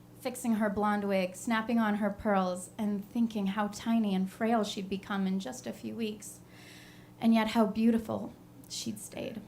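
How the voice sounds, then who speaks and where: At a fairly slow pace, a woman with a medium pitch and a somewhat breathy voice speaks with fairly even intonation. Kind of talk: live storytelling performance.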